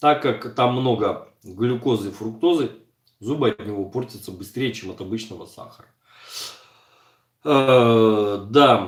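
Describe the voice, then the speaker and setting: A man at a medium pitch speaks at a very slow pace, with ordinary pitch variation and long, frequent pauses. His loudness swings widely. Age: 40s. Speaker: streamer answering viewers. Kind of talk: live stream chat reading viewer comments. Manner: casual conversational.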